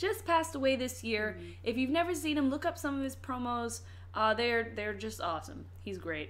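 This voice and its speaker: With an American accent, a woman talks at a fairly quick pace. Audible room echo surrounds her voice. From Virginia. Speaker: podcast host. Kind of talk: casual chat.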